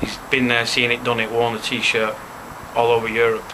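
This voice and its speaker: A man with a Manchester accent speaks at medium pitch amid noticeable background noise. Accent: Greater Manchester English. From Leigh, Greater Manchester, England. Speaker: football fan. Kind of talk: interview answer. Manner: casual, profane.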